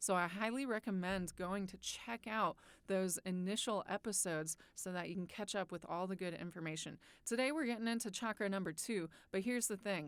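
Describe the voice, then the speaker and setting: With an unremarkable speaking voice, a woman of medium pitch talks at a fairly quick pace with ordinary pitch variation, in a very clean recording with a silent background. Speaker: meditation guide and biologist. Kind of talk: podcast-style teaching talk.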